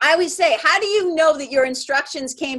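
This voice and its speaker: Lively intonation and a fairly quick pace mark this woman's delivery. She has a bright, sharp tone and speaks with a New England accent. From Boston, Massachusetts. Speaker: spiritual mentor. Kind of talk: podcast interview answer.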